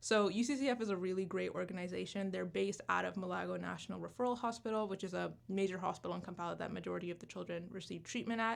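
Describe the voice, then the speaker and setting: A woman talks at a very fast pace. There are hardly any pauses. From Canada. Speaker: student charity organizer. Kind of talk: radio interview. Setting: radio studio. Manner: halting when reading.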